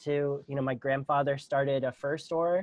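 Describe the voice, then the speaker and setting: A man talks at a moderate pace with a Pittsburgh accent. His pitch is fairly high. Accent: American, Pittsburgh. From Pittsburgh, Pennsylvania, US. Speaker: non-profit founder. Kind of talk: podcast interview. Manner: halting, many fillers.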